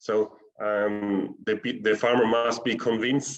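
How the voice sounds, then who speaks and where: In a German accent, a man speaks at a medium pitch. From South Tyrol, northern Italy. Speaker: organic fruit cooperative representative. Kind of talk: webinar panel answer. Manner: halting.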